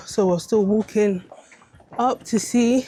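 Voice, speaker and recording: Through noticeable background noise, a woman's words come at a fairly slow pace. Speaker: travel vlogger. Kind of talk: casual vlog narration.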